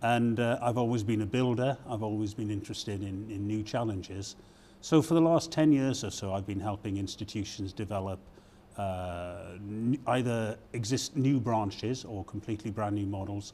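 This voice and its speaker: This man has a British accent, a fairly low pitch, a dark, mellow tone, ordinary pitch variation and a moderate pace. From Britain. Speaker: university provost. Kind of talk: interview. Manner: hesitant, many fillers.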